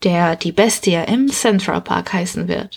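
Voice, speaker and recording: At a fairly slow pace, the speaker talks in a somewhat breathy voice with ordinary pitch variation. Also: woman. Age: 20s. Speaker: book author and podcast host. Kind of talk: book presentation.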